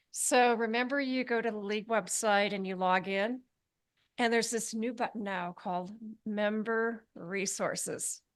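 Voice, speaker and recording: Against a quiet background, a woman speaks at a fairly high pitch. Her intonation stays fairly even. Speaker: board member. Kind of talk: meeting announcements. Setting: meeting hall with audience and Zoom. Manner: fast.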